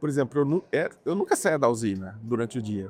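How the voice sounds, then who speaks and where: A fairly quick pace with very wide pitch swings. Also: man. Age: 60s. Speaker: agribusiness professional. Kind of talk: interview. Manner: halting.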